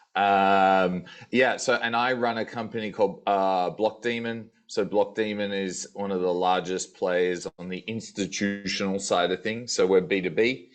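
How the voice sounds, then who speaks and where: Over music in the background, a man with an Australian accent talks at a fairly low pitch, with fairly even intonation and a fairly slow pace. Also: hardly any pauses. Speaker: tech company sales executive. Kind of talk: panel discussion.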